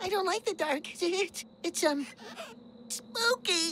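A cartoonish character voice at a slow pace, fairly bright in tone, with lively intonation and faint music in the background

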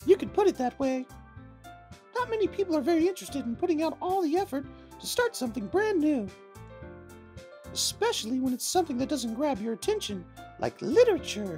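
Putting on a character voice at an extremely high pitch, a man sounds confident, going at a fairly quick pace with long, frequent pauses while clear music plays in the background. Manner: sweet, confident.

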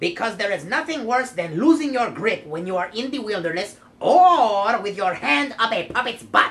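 A cartoonish character voice, female-sounding and fairly high, at a moderate pace with hardly any pauses. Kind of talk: comic overacting. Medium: puppet show. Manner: cheeky, wisecracking.

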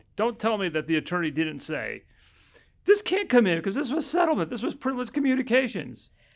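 Very fast speech with very wide pitch swings against a quiet background. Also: man, high pitch for a man. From US Midwest (Chicago). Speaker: family law attorney. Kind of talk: casual chat. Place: office. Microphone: studio mic.

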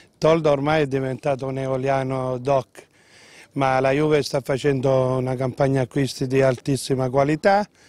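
A man with an unremarkable speaking voice talks at a moderate pace and fairly high pitch. The intonation is fairly even, in a dry sound with no echo. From Lipari, Sicily; Sicily. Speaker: port worker; interviewee. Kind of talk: casual chat. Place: waterside. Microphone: handheld.

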